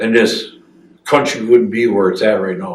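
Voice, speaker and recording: Audible room echo around a man with an American accent, talking at a fairly quick pace. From northern Wisconsin. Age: 60s. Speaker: military veteran. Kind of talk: oral history interview. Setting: veterans center. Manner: halting, many fillers.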